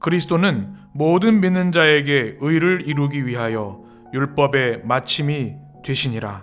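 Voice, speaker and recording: Over music in the background, the speaker goes at a very slow pace with lively intonation. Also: man, fairly high pitch for a man. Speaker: pastor.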